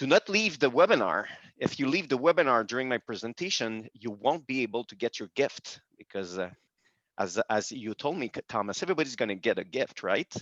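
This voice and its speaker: A man's medium-pitched voice in a Quebec accent, fairly quick, with very wide pitch swings and big swings in loudness, in a dry, close sound with no echo and a quiet background. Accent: French-Canadian accent in English. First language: French. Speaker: business executive. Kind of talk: webinar presentation. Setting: video call. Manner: halting, many fillers.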